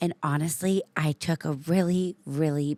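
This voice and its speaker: A very slow, dark, mellow voice with fairly even intonation, in a very clean, dry, close recording with a silent background and no echo. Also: woman. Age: 30s. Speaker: podcast host and coach. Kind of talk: personal monologue. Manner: reflective, candid.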